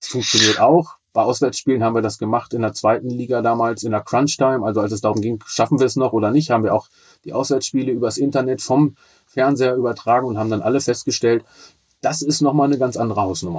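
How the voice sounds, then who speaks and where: A man with a medium pitch rushes along at a very fast pace, his intonation fairly even. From Braunschweig, northern Germany. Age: 40s. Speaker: teacher and blind-radio football commentator. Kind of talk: casual interview.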